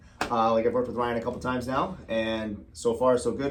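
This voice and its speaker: The man talks at a fairly quick pace and medium pitch, with audible room echo. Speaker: real estate agent. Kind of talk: casual chat. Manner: fast.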